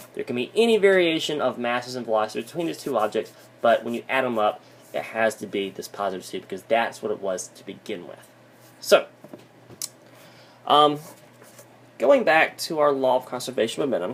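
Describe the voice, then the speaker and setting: Lively in intonation and fairly quick, a man at a medium pitch talks with long, frequent pauses and big swings in loudness. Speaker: physics teacher. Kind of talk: lecture. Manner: fast.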